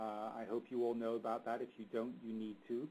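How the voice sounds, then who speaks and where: The speaker talks at a fairly quick pace with an English accent. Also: man. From England. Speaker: marketing expert. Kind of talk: webinar presentation. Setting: webinar. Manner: mumbling.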